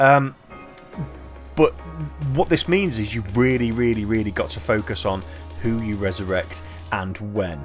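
A man speaks quietly at a moderate pace with lively intonation. Music plays in the background, and he takes long, frequent pauses. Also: fairly low pitch for a man. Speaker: gaming video creator. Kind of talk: game commentary.

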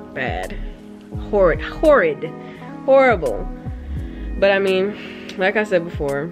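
A woman talks at a fairly slow pace with clear music in the background. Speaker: vlogger. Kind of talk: casual vlog chat. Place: home room. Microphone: phone near.

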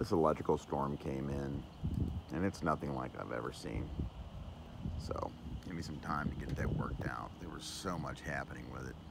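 A man speaks with long, frequent pauses. The sound is dry with no echo, though loud background noise is present. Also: ordinary pitch variation, moderate pace. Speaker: vlogger sky watcher. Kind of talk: casual vlog chat. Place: open country. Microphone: phone near.

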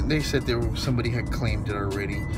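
Music behind a man's speaking voice. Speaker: dumpster diving vlogger. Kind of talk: casual vlog chat. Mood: annoyed, ranting. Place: car. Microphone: phone near.

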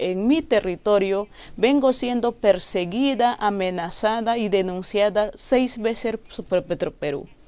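A woman speaks very slowly with a dark, mellow tone. Her pitch is fairly high, with ordinary variation. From northern Peruvian Amazon, Loreto. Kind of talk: interview. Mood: earnest, grave. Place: studio.

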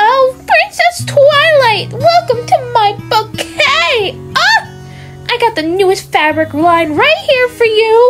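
A put-on character voice speaks at an extremely high pitch and a fairly slow pace. Clear music plays in the background. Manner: chirpy, salesy.

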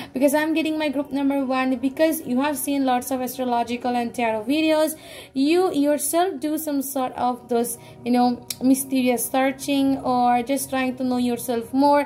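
High-pitched woman at a moderate pace, fairly even intonation, faint music in the background. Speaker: tarot reader. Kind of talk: tarot reading addressed to viewers.

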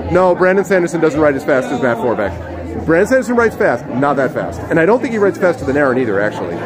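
Crowd noise fills the background as the speaker races along at a very fast pace, with hardly any pauses and very wide pitch swings. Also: man, fairly high pitch for a man. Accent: American. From US South, South Carolina. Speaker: streamer and author interviewing authors. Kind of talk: reading aloud own fiction; casual live stream chat and interviews. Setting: live stream from a book fair on phone. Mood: relaxed, amused. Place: hall. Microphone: phone near.

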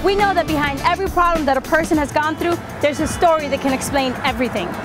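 A woman talks at a fairly quick pace and extremely high pitch, with ordinary pitch variation. Clear music plays in the background, and the sound is dry with no echo. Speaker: commercial spokesperson. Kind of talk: TV infomercial car dealership narration. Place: street.

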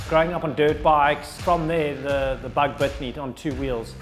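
Clear music plays in the background. A man speaks at a fairly quick pace with fairly even intonation. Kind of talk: interview answer. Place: workshop. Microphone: lapel.

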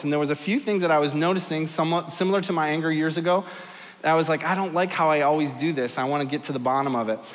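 A man's fast, fairly high-pitched voice with ordinary pitch variation and audible room echo

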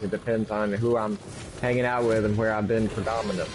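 With a Southern US accent, a man at medium pitch talks at a very fast pace in a monotone, flat intonation and very even loudness over noticeable background noise. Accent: southern twang. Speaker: gamer chatting during co-op play.

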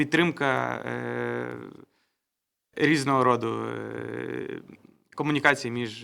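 A man talks with big swings in loudness and long, frequent pauses. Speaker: program expert. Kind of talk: press briefing. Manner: halting.

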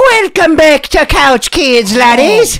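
Fairly slow put-on character voice at a high pitch. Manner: jovial.

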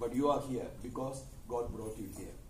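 A man speaks at a fairly quick pace with fairly even intonation. Light background noise and audible room echo are present. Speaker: university lecturer. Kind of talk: motivational talk to students. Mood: warm, earnest. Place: classroom. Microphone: camera far.

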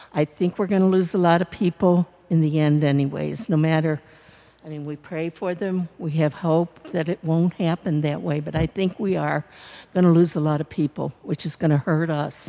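A woman speaks with a fairly low pitch. Her pace is moderate. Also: fairly even intonation. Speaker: parishioner. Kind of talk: comment at parish meeting. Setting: church. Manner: halting. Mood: earnest, concerned. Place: church.

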